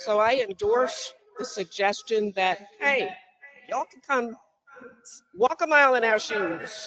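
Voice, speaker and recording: A woman speaks at a fairly slow pace and a fairly high pitch, with lively intonation and long, frequent pauses. Her loudness swings widely, and music plays in the background. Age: 70s. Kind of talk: public comment at listening session. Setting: community meeting, in person or online.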